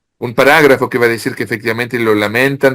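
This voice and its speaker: A man with a bright, sharp tone. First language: French (speaking Spanish). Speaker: author. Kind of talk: interview. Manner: halting.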